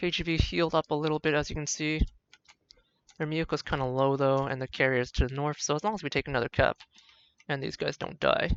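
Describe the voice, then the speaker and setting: The speech rushes along very fast yet is broken by long, frequent pauses. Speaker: gaming video creator. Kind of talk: gameplay commentary.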